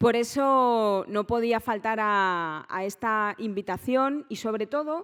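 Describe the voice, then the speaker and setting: A woman with a Valencian accent at a fairly high pitch, a very slow pace with hardly any pauses, ordinary pitch variation, and a very clean recording with a silent background. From Valencia, Spain. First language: Valencian (speaking Spanish). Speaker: politician. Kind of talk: conference speech. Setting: conference stage with audience.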